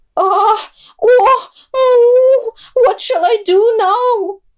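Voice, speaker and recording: A woman speaks at a very slow pace in a put-on character voice. Her pitch is extremely high. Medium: read story. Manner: inserts moos into speech.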